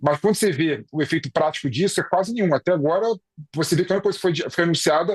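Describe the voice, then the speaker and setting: In a dry, close recording with no echo, a man speaks at a high pitch in a Rio de Janeiro accent, his pitch varying in an ordinary way. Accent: carioca accent, noticeable. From Rio de Janeiro, Brazil. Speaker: political commentator. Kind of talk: news discussion. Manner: hesitant, many fillers.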